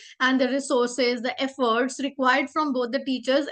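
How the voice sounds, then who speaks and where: A woman speaks with a high pitch and a bright, sharp tone. The background is quiet. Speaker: teacher trainer. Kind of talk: lecture.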